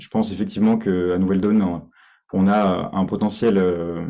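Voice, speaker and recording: A man speaks at a moderate pace. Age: 20s. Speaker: party candidate, IT worker. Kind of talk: candidate self-presentation in online meeting. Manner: halting, many fillers and repetitions.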